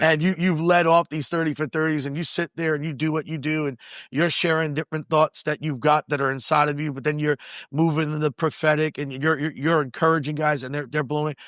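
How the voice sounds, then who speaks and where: A man's fairly high voice in a New York accent, fairly quick and monotone with flat intonation, dry and close with no echo, on a very clean recording with a silent background. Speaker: podcast host and pastor. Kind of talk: interview conversation. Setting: recorded on location at a retreat venue.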